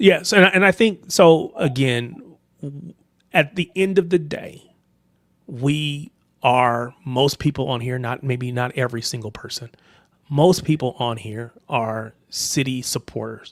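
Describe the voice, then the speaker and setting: A man with a plain, everyday voice and an American accent, fairly high in pitch, at a fairly slow pace with lively intonation and big swings in loudness. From United States. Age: 30s. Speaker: football livestream host. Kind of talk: casual chat.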